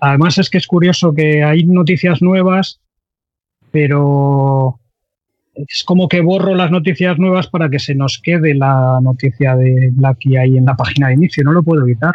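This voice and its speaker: A man speaks in an unremarkable speaking voice at a moderate pace, with a fairly high pitch. His intonation is fairly even and his loudness very even. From Andalusia, Cádiz. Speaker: 3D software trainer and forum administrator. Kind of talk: casual interview chat.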